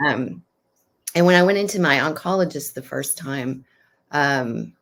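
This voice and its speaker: Speaking at a fairly slow pace, a woman uses a very deep, low pitch with vocal fry and lively intonation. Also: very clean recording, silent background. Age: 60s. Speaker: yoga teacher. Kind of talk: interview.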